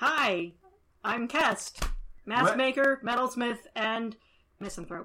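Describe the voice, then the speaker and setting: In a put-on character voice, fairly high in pitch, the speaker goes at a fairly slow pace with long, frequent pauses. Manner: mysterious.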